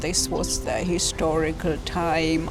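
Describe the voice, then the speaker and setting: A woman talks fairly slowly. Behind her voice, music is playing. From Germany. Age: 60s. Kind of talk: interview answer.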